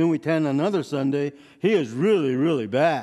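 This man's voice moves in very wide pitch swings. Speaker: preacher. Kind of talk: sermon. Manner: loud.

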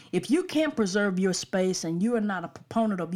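The speaker has an Alabama accent and moves at a fairly quick pace. The recording is very clean, with a silent background. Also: woman. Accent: US Southern (Alabama). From Alabama, Birmingham suburbs. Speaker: pastor and podcast host. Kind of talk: podcast sermon / teaching monologue.

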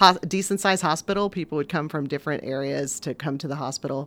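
The recording is very clean, with a silent background. A woman talks at a fairly quick pace with lively intonation. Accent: Midwestern American. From southwestern Indiana, US Midwest. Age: 50s. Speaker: newspaper editor. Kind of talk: interview.

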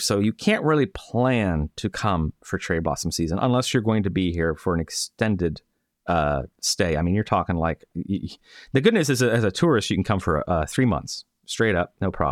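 A man with an American accent and an unremarkable speaking voice, fairly low in pitch, lively in intonation, at a fairly quick pace, dry and close with no echo, on a very clean recording with a silent background. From Florida, US. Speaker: podcast host. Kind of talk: casual chat.

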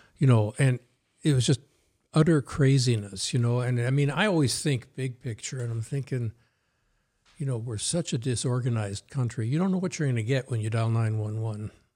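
Here a man talks fairly quickly in a dark, mellow tone that is somewhat breathy. His pitch is medium, with ordinary variation. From New Jersey, US. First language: Norwegian. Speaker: former police chief. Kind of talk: casual conversational interview.

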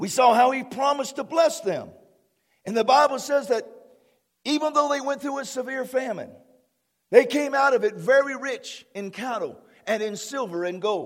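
A man's extremely high-pitched, animated voice at a moderate pace, with ordinary pitch variation and long, frequent pauses. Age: 50s. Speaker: pastor. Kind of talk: sermon.

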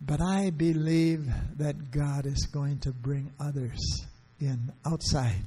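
A man talks at a very slow pace in a dark, mellow tone that is somewhat breathy. His pitch is fairly high, with ordinary pitch variation. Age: 70s. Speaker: missionary evangelist. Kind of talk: sermon. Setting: church.

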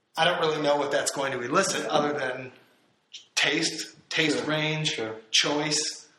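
A man's fairly high voice with an American accent, fairly slow pace and fairly even intonation. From central Illinois, US. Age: 30s. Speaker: painter and art professor. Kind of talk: interview. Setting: artist's studio.

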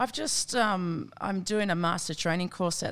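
On a very clean recording with a silent background, a woman with an Australian accent talks at a fairly quick pace in a fairly low pitch. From Australia, southwest Sydney (Campbelltown). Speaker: Olympic softball player. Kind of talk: casual chat.

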